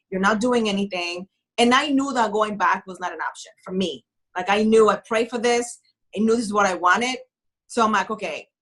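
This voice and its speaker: A woman's fairly high voice with a non-native accent, fairly quick pace, and ordinary pitch variation. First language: not English. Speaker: author and writing coach. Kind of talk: interview. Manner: animated.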